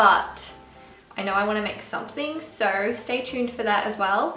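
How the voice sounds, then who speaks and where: Faint music and audible room echo sit behind a woman's voice. She speaks at a moderate pace with ordinary pitch variation. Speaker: food vlogger. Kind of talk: casual vlog chat. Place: kitchen. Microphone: camera far.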